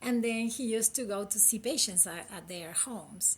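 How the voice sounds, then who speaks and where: A woman speaks with a Uruguayan accent and ordinary pitch variation. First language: Spanish. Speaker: critical care physician. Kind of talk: interview.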